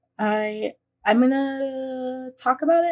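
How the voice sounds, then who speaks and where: A woman speaks with a high pitch and ordinary pitch variation. The background is quiet. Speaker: vlogger. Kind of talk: casual vlog chat. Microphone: phone near.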